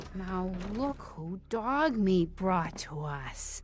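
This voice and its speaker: Clear background noise sits under a put-on character voice that moves very slowly with very wide pitch swings. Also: woman, medium pitch for a woman. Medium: video game. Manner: folksy, drawling.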